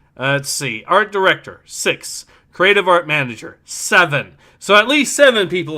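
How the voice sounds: Lively intonation in a natural reading voice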